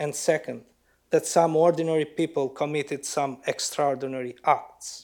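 A man with an Albanian accent speaks at a moderate pace in a fairly high, monotone, flat voice. The recording is very clean with a silent background. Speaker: writer. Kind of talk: lecture. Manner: formal.

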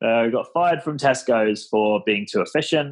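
This is a man with an English accent. His intonation is lively. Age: 30s. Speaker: startup founder. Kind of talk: casual interview. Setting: podcast recording.

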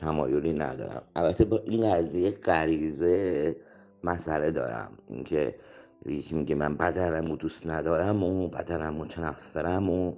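This man's voice is very deep and low, with a dark, mellow tone and vocal fry. He talks at a fairly slow pace with ordinary pitch variation. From Iran, Shahrud. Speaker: theatre actor and director. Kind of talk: interview.

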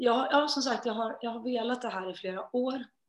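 A woman with a fairly high pitch and ordinary pitch variation has an ordinary speaking voice. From Sweden. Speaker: singer. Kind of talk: interview.

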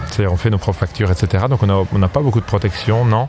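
With music in the background, a man speaks at a fairly quick pace in a fairly low voice with ordinary pitch variation. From France. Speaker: singer and ensemble director. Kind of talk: interview.

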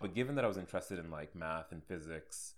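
Speaking at a fairly quick pace, a man uses a very deep, low pitch with ordinary pitch variation. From Saudi Arabia. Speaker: software developer. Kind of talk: casual chat. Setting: his apartment. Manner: calm.

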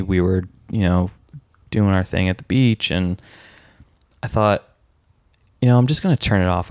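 A man's very deep, low voice with an American accent at a moderate pace, on a very clean recording with a silent background. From San Francisco, US. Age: 30s. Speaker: lawyer. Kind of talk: casual chat.

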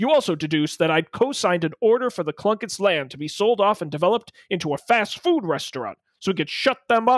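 In a put-on character voice at a very fast pace, the speaker is heard on a very clean recording with a silent background and dry, close sound with no echo. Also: man, high pitch for a man, lively intonation, hardly any pauses. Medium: talk show. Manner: menacing, sneering.

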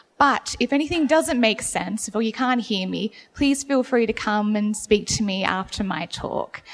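With an Australian accent, a woman talks with hardly any pauses, her fairly high voice full of lively intonation, over noticeable background noise. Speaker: museum curator giving a gallery talk. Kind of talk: public talk. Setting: gallery room with audience, poor acoustics, no PA. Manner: slow and clear.

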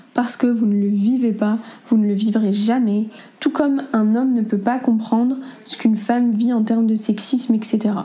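Fairly slow speech with fairly even intonation amid noticeable background noise. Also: woman. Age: 20s. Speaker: interviewee sharing experiences. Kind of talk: testimony.

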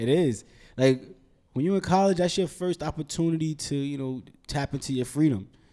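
On a very clean recording with a silent background, a man with a fairly high pitch talks at a fairly quick pace with ordinary pitch variation. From Brooklyn, New York. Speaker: real estate investor. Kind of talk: casual interview chat.

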